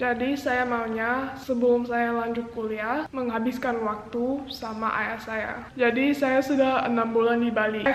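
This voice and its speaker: Over noticeable background noise and audible room echo, a woman speaks in a high pitch with monotone, flat intonation. Her pace is fairly slow, with hardly any pauses. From Jakarta, Indonesia (international school). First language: English (speaking Indonesian). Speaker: vlogger. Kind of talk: personal vlog monologue.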